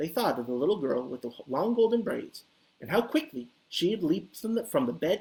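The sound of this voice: The reading voice here is unforced.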